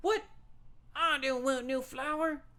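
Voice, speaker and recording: A put-on character voice, high-pitched and delivered in a Southern accent. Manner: dismissive.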